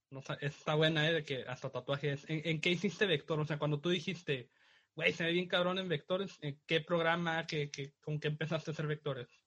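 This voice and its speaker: An unremarkable speaking voice from a man, fairly high in pitch, with fairly even intonation and a fairly quick pace. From Mexico, Tijuana. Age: 20s. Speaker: graphic designer and podcast co-host. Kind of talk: casual chat.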